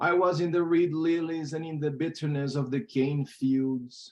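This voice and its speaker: The speaker has a Portuguese accent and ordinary pitch variation. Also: man. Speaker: poet. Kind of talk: poetry reading.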